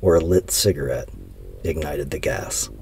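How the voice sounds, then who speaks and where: A man talks at a moderate pace as music plays in the background. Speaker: documentary narrator. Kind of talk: storytelling narration.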